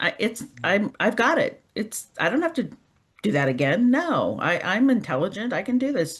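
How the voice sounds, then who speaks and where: The voice has vocal fry, very wide pitch swings and very even loudness, moving at a moderate pace. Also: woman, fairly high pitch for a woman. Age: 60s. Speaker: group call participant. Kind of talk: casual chat.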